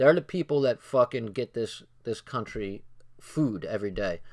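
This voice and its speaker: A man talks at a moderate pace in an unremarkable speaking voice of medium pitch, with lively intonation. The sound is dry and close with no echo, on a very clean recording with a silent background. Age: 40s. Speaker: video streamer reading and commenting on a book. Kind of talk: livestream reading aloud with commentary. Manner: casual, profane.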